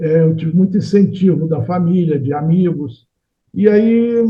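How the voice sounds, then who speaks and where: This man's voice sits high. The intonation rises and falls in a lively way. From Rio de Janeiro, Brazil. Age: 70s. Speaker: painter and engineer. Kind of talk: interview. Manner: halting.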